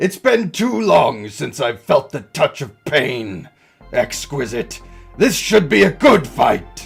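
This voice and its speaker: Putting on a character voice, a man speaks at a fairly slow pace with a fairly high pitch while faint music plays in the background. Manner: menacing, relishing.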